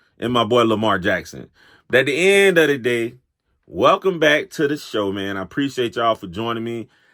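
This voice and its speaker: On a very clean recording with a silent background, a man with an American accent speaks at a moderate pace in a medium pitch. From Florida. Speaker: sports talk show host. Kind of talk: casual monologue. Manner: casual, conversational.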